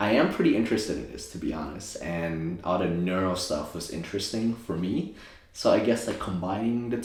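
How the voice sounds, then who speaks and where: In a Thai accent, a man speaks at a moderate pace with ordinary pitch variation. Noticeable background noise and audible room echo surround him. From Thailand, moved to US at nine. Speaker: optometrist and DJ. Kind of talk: interview, casual chat. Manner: casual, many fillers.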